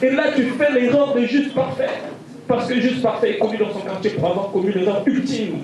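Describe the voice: Moderate pace from a man with a slightly mellow tone and audible room echo.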